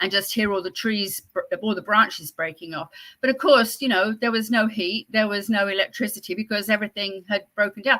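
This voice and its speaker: In a Southern English accent, a woman with a fairly high pitch and a bright, sharp tone speaks with ordinary pitch variation. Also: fairly quick pace, hardly any pauses. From southern England (Whitstable, Kent). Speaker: host's mother, cookie baker. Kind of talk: casual chat.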